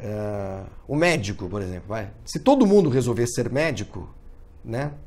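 A man's medium-pitched voice at a moderate pace. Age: 50s. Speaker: motorsport journalist; sports journalist. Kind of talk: video commentary monologue. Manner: halting with many fillers. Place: home room. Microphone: phone near.

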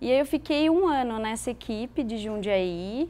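The speaker is a woman. Lively intonation marks her delivery. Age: 30s. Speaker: elite cyclist and veterinarian. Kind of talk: interview. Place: studio.

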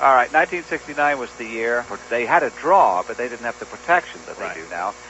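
In a dry sound with no echo, a man talks fairly quickly over light background noise. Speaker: radio guest. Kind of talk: storytelling radio talk. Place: studio.

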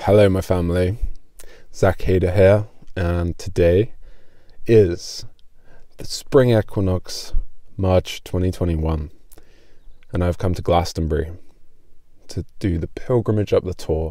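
Against a quiet background, a man with a very deep, low pitch speaks at a fairly slow pace with long, frequent pauses, the sound dry with no echo. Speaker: vlogger. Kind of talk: casual vlog chat. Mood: calm, warm. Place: car. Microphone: phone near.

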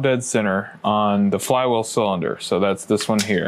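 Moderate pace and ordinary pitch variation. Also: man. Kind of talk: tutorial. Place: workshop.

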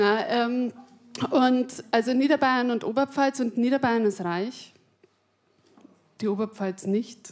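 A woman with a Bavarian accent speaks at a high pitch and a very slow pace. She leaves long, frequent pauses. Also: ordinary pitch variation. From Upper Palatinate, Bavaria. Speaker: stand-up comedian. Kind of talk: stand-up comedy routine. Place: stage. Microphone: handheld.

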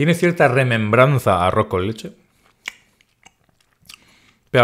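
A man with a medium pitch and a fairly bright tone speaks at a moderate pace, his pitch swinging widely.

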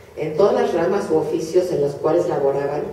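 A woman's voice with audible room echo and light background noise. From Hungary (Budapest). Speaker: Holocaust survivor speaker. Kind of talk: lecture. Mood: solemn, grave. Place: hall. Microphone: camera far.

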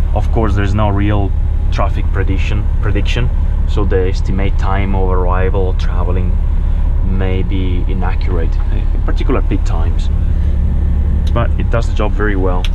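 This man speaks at a moderate pace, leaving long, frequent pauses, while noticeable background noise carries on behind him. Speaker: truck driver vlogger. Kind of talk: tutorial. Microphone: camera far.

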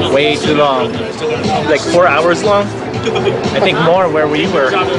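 Loud music plays in the background as a man speaks at a moderate pace. The sound is dry with no echo. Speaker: food vlogger. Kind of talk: casual vlog chat. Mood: cheerful, joking. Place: street. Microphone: phone near.

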